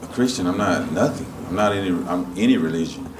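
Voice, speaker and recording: The voice keeps a moderate pace with ordinary pitch variation over noticeable background noise. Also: man. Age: 40s. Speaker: church attendee. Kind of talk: testimony. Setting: stage with audience. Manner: halting.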